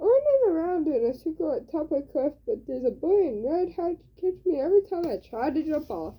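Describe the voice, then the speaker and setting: The voice has a dark, mellow tone and very wide pitch swings. It moves at a fairly quick pace with hardly any pauses. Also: woman, extremely high pitch for a woman. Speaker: YouTuber reading books aloud. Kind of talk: reading aloud.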